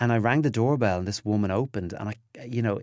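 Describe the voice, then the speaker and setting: A man speaks at medium pitch on a very clean recording with a silent background. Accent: Dublin. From Ireland, north Dublin. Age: 30s. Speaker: TV presenter and style commentator. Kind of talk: interview.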